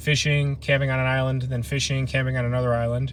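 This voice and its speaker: A man speaks in a somewhat breathy voice. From Ohio, US Midwest. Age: 30s. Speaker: camping vlogger. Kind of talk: casual live stream chat. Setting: outdoors, truck camping in the wilderness.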